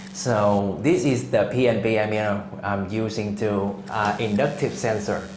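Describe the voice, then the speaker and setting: Amid noticeable background noise and audible room echo, a man with a fairly low pitch talks at a fairly slow pace with hardly any pauses and ordinary pitch variation. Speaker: industrial automation tutor. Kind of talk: tutorial. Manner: halting.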